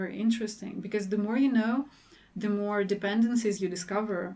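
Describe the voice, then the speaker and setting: A woman with a Russian accent, medium pitch and monotone, flat intonation. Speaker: PhD researcher. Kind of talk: podcast interview.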